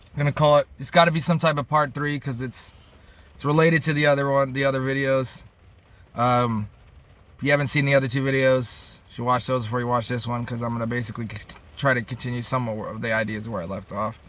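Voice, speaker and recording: A man talks at a very fast pace with an American accent. His pitch is medium and his intonation fairly even. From upstate New York. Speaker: vlogger. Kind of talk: casual monologue. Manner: halting.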